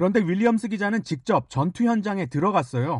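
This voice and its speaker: A man at a moderate pace with very wide pitch swings, in a dry, close sound with no echo and a quiet background. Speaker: radio host. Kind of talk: interview. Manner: formal.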